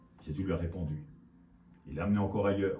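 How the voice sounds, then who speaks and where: Amid audible room echo, a man speaks with a very deep, low pitch, a dark, mellow tone, a somewhat breathy quality and ordinary pitch variation. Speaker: preacher. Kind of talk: sermon.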